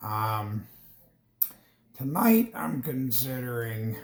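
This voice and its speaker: A man's somewhat breathy voice at medium pitch and a very slow pace. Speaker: gaming streamer. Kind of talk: casual gameplay commentary. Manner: hesitant, many fillers.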